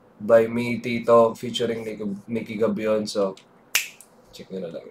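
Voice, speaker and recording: Through noticeable background noise, a man speaks at a medium pitch. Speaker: music reactor and singer. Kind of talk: reaction video commentary.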